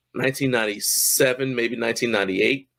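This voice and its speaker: An unremarkable speaking voice from a man at medium pitch, moderate pace and fairly even intonation, on a very clean recording with a silent background. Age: 50s. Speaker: powerlifting meet commentator. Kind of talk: casual chat.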